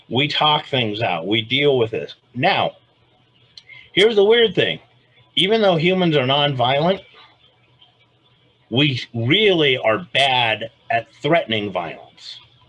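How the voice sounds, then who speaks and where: Very slow and broken by long, frequent pauses, a man's fairly high voice carries vocal fry and very wide pitch swings. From Los Angeles, US West Coast. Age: 60s. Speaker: self-defense expert and author. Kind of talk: interview conversation.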